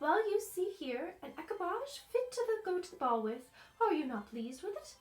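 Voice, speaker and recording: A woman's put-on character voice, extremely high-pitched with very wide pitch swings and a warm, gentle tone. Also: moderate pace. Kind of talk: old-fashioned storybook speech. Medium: read story.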